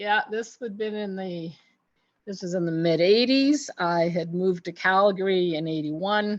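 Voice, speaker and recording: A woman speaks in a plain, everyday voice at a medium pitch. Her pace is fairly slow. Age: 60s. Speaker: nurse with MS, interview guest. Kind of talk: casual interview. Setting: studio.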